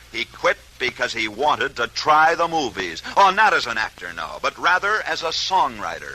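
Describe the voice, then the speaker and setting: High pitch from a man, with noticeable background noise behind him. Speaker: radio sports broadcaster. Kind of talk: old-time radio sports story narration.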